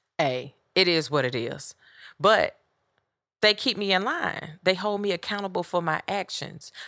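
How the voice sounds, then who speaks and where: On a very clean recording with a silent background, a woman with vocal fry and a bright, sharp tone speaks at a fairly slow pace with lively intonation. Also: medium pitch for a woman. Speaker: podcast host. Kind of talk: solo podcast monologue, casual. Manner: direct, curt.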